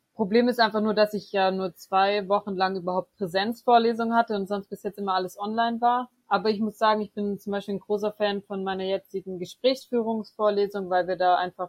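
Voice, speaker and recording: Her delivery is monotone and flat. The woman keeps up a fairly quick pace. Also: hardly any pauses, big swings in loudness. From Swabia, Germany (Böblingen near Stuttgart). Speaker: theology student and student tutor. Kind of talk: interview.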